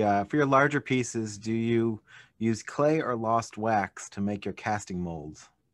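Delivered at a moderate pace with ordinary pitch variation, the voice has a dry sound with no echo. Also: man. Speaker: gallery presenter; gallery host, moderator. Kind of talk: webinar hosting. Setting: video call. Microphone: video call.

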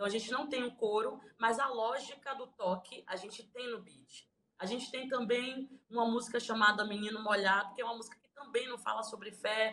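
Speaking at a moderate pace, a woman has a fairly high pitch and fairly even intonation, with big swings in loudness over light background noise. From Bahia, Recôncavo region; Bahia, Brazil. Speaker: singer-songwriter. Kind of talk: interview. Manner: halting. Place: home room. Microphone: phone near.

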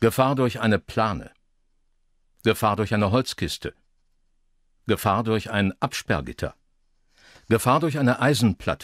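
A man's vocal fry at a fairly slow pace, with long, frequent pauses and ordinary pitch variation, in a dry, close sound with no echo on a very clean recording with a silent background. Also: medium pitch for a man. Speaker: former radio broadcaster. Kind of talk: radio traffic-warning style narration for an audio art piece. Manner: measured, neutral, professional.

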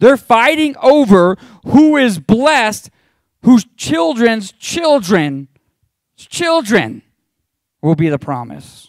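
In a warm tone and high pitch, a man speaks very slowly with very wide pitch swings and long, frequent pauses, over a quiet background with a dry sound and no echo. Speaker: pastor. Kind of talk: sermon, Bible teaching with a closing prayer. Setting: church with a live congregation. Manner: warm, earnest, conversational preacher; fervent and pleading in the prayer at the close. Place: church. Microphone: handheld.

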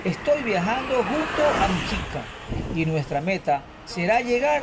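Music plays in the background. A man speaks at a fairly slow pace. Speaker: travel vlogger. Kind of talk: casual vlog chat. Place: street.

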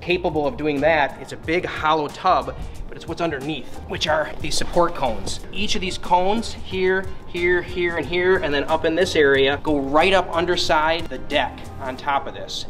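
A man keeps a moderate pace as clear music sounds in the background. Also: ordinary pitch variation. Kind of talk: product explanation. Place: gym.

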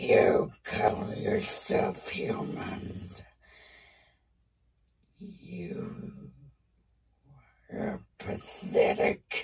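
A woman's raspy, put-on character voice at a very slow pace. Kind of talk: improvised character story. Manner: angry, menacing.

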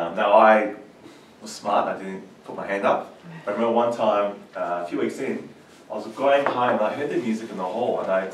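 Audible room echo and light background noise surround a man speaking fairly quickly in a fairly low voice with fairly even intonation. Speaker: guest. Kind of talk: personal storytelling talk. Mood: warm, laughing at times. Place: meeting room.

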